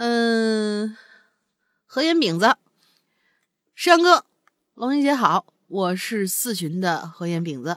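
At a very slow pace with long, frequent pauses, a woman speaks at a fairly high pitch with very wide pitch swings, in a dry, close sound with no echo on a very clean recording with a silent background. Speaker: co-host. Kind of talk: casual chat, reading listener stories.

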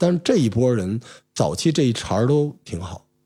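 A man's dark, mellow voice with very wide pitch swings, on a very clean recording with a silent background. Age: middle-aged. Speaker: podcast host with media background. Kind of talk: casual chat.

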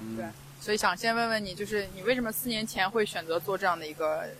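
Her pace is very fast. The woman's voice sits at a medium pitch with ordinary pitch variation. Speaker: podcast host. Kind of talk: casual interview chat. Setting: outdoors on a beach.

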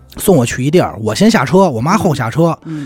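A man speaks with very wide pitch swings over music playing in the background. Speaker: radio presenter. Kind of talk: interview conversation.

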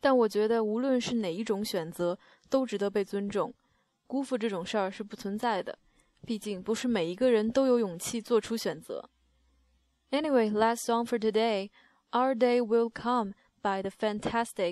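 A woman speaks in a plain, everyday voice at a moderate pace, with a fairly high pitch. Her pitch variation is ordinary, and the recording is very clean with a silent background. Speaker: music radio host. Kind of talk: music show links. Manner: calm, relaxed.

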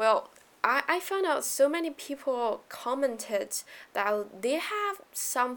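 With a Chinese accent, a woman speaks at a very slow pace over noticeable background noise. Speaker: podcast host. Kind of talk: solo podcast talk on economics. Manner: casual, with fillers.

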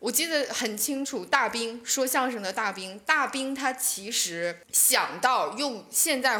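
Noticeable background noise accompanies a woman speaking at a high pitch with lively intonation. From Northeast China, Shenyang. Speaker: stand-up comedian. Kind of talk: casual chat.

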